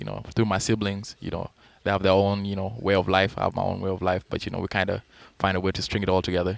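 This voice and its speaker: A man talks at a very fast pace. His voice is fairly low with monotone, flat intonation. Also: very clean recording, silent background. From South Sudan. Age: 20s. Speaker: college basketball player. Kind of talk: radio interview. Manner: hesitant, many fillers.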